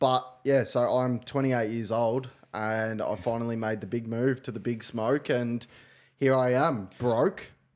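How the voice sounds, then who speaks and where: Speaking in an Australian accent at a fairly slow pace, a man of medium pitch keeps his intonation fairly even on a very clean recording with a silent background. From Victoria, Australia (Gippsland). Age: 20s. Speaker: podcast co-host. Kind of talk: casual chat.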